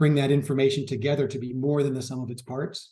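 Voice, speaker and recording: A man talks at a fairly quick pace in a medium pitch with a dark, mellow tone. His voice is somewhat breathy, with monotone, flat intonation. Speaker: public health expert presenting at a webinar. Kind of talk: webinar presentation. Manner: fast.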